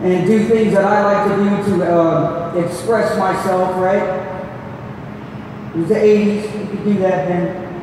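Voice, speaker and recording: A man talks at a fairly slow pace with long, frequent pauses, his high-pitched voice flat and monotone. Strong room echo and noticeable background noise fill the recording. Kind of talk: ceremony speech. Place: hall.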